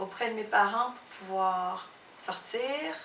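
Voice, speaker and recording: A woman speaks with a Cambodian accent. Noticeable background noise and audible room echo surround her. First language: Khmer (speaking French). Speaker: illustrator and photo editor. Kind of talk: interview testimony. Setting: her office. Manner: halting, many hesitations.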